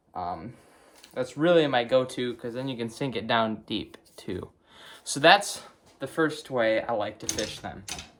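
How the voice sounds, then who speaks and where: The voice has lively intonation and a Wisconsin accent. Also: man, medium pitch for a man, fairly slow pace. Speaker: fishing video creator. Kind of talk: tutorial. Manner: hesitant, many fillers.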